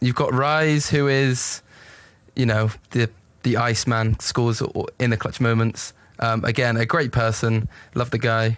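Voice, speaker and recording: On a very clean recording with a silent background, a man with a southern English accent speaks fairly slowly at a medium pitch, his intonation fairly even and his loudness very even. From England. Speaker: esports coach and team manager. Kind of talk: interview.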